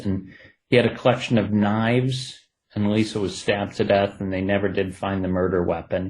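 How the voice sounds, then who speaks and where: A man with an Ohio accent speaks at a moderate pace. His pitch is fairly low and his intonation fairly even. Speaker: true crime author. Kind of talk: interview.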